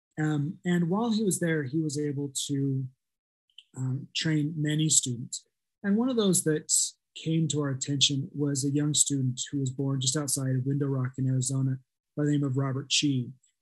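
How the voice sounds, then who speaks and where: The voice is somewhat breathy, with ordinary pitch variation at a moderate pace. The background is quiet. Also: man, fairly high pitch for a man. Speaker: art scholar; panelist. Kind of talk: academic presentation. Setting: video call. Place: home room. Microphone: webcam.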